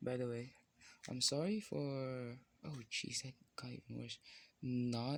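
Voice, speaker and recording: A man with a non-native accent, very slow pace and fairly even intonation. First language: not English. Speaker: content creator drawing on camera. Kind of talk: casual vlog monologue while drawing. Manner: halting, many fillers.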